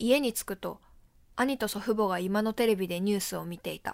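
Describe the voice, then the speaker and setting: A woman's medium-pitched voice at a moderate pace, with ordinary pitch variation, in a very clean recording over a silent background. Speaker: theater performer. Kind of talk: reading aloud.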